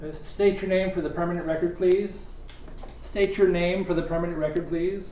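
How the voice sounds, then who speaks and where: A man speaks at a fairly quick pace in a high-pitched voice with monotone, flat intonation. Noticeable background noise runs behind him. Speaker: interviewer.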